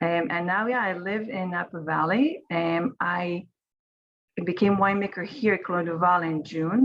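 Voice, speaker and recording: With an Israeli accent, a woman speaks in a fairly low voice. Her pace is moderate and her pitch variation ordinary. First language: Hebrew. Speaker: winemaker. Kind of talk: online panel presentation.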